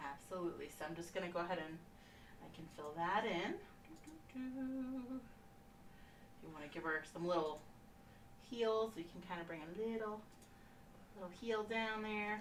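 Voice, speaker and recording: Soft-spoken, a woman talks with lively intonation, big swings in loudness and long, frequent pauses, with audible room echo and noticeable background noise. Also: moderate pace. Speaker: painting instructor. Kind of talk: tutorial. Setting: live stream. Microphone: no microphone, may sound too low.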